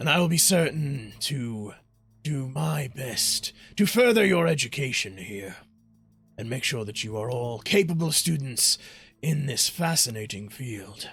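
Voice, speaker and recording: Over faint music in the background, a man does a raspy put-on character voice at a medium pitch and a moderate pace, with very wide pitch swings. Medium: actual play. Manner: formal, speechmaking.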